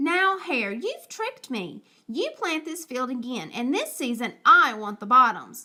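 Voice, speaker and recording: Putting on a character voice, a woman talks at a moderate pace with a high pitch. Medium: read story. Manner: slow, grumbling.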